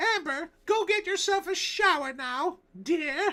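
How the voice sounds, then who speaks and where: In a put-on character voice, a female-sounding speaker with an extremely high pitch talks at a fairly slow pace. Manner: motherly, old-fashioned.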